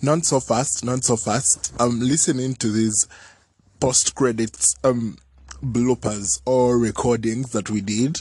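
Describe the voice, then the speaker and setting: A somewhat breathy man at medium pitch, at a very slow pace. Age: 20s. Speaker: podcast host. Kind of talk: casual chat.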